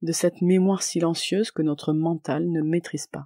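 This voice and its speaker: Speaking at a fairly slow pace with a calm tone, a woman with a fairly low pitch and a dark, mellow tone keeps her intonation fairly even in a dry, close recording with no echo, very clean and set against a silent background. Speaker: podcast host and coach. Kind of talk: podcast monologue.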